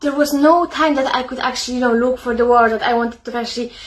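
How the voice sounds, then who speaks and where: High in pitch, a woman speaks with fairly even intonation. Noticeable background noise can be heard. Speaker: psychotherapist and author. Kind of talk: casual talk to camera. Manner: halting, many fillers.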